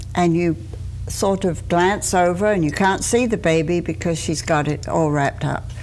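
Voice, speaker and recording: A woman with an English accent, fairly low pitch, lively intonation and moderate pace, plus audible room echo. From England. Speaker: deputy coroner. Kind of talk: TV interview.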